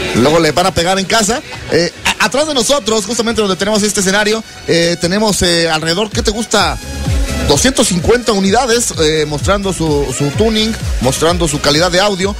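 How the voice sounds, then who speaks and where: Clear music plays in the background as a man speaks at a fairly quick pace with a high pitch and lively intonation, the sound dry with no echo. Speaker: radio host. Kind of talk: live radio show host, event broadcast.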